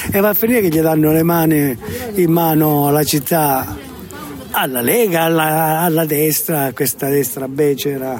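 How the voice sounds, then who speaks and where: Fairly high male voice at a fairly slow pace, very even loudness, noticeable background noise. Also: ordinary pitch variation. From Calabria, southern Italy. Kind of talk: street interview. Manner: halting.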